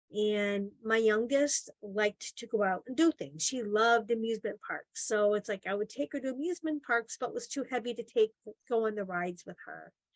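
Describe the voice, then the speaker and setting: A woman with a fairly high pitch and ordinary pitch variation speaks at a moderate pace with hardly any pauses, in a dry, close sound with no echo. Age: 60s. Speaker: weight loss program client. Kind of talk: testimony. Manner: halting.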